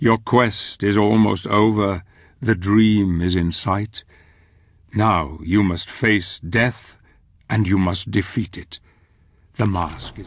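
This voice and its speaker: In a very clean recording with a silent background, a man uses a put-on character voice at a fairly low pitch, speaking at a very slow pace with long, frequent pauses. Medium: video game. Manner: solemn, reflective.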